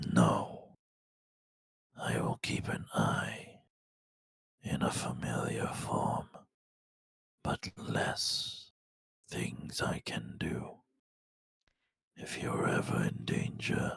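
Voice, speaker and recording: Whispering in a put-on character voice, a man speaks at a very slow pace with long, frequent pauses. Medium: actual play. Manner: cold, terse, menacing.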